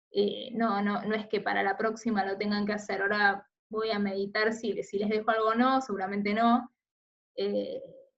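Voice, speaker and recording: With audible room echo, a woman with a fairly high pitch speaks at a fairly slow pace in a monotone, flat intonation. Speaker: teacher. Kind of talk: recorded lecture.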